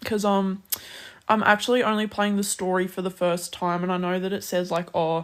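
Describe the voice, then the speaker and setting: A woman with an Australian accent at a medium pitch, moderate pace and monotone, flat intonation. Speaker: streamer. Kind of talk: casual chat.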